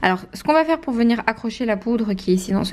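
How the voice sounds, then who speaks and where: Talking at a very fast pace, a woman has a somewhat breathy voice with a dark, mellow tone. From Belgium. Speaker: nail technician. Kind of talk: tutorial.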